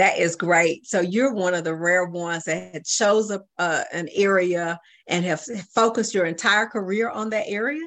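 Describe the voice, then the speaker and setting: In an ordinary speaking voice, a woman talks at medium pitch and a moderate pace with an American accent. Her pitch varies in an ordinary way, and the background is quiet. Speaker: radio host. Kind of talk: radio interview. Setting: studio. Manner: formal.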